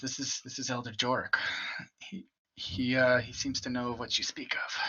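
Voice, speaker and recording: In a put-on character voice, a man speaks raspy at a medium pitch and a moderate pace, his intonation fairly even. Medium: actual play. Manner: hesitant, polite.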